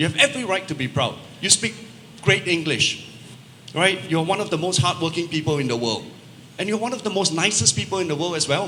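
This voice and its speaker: A man talks at a very fast pace in a high pitch with a Singaporean accent. Long, frequent pauses break up his speech, and background noise is noticeable. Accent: Singaporean English accent, unashamed. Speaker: travel technology company representative. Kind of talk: panel discussion.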